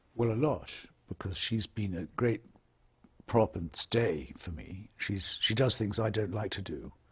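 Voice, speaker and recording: A man's somewhat breathy voice carries ordinary pitch variation. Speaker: author and public intellectual. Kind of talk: interview answer. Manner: soft-spoken, honest, direct.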